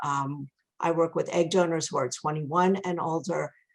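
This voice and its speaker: Speaking at a moderate tempo, this woman has a fairly low pitch. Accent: strong New York. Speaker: egg donation agency owner. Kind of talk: webinar presentation.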